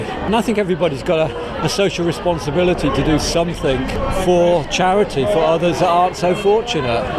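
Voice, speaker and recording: A high-pitched man with ordinary pitch variation, audible room echo, and crowd noise in the background. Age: 60s. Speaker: charity marathon runner. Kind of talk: interview.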